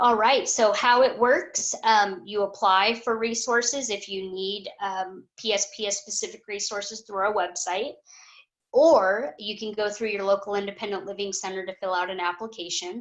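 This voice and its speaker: A plain, everyday voice from a woman, medium in pitch, with fairly even intonation at a moderate pace. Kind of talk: webinar presentation.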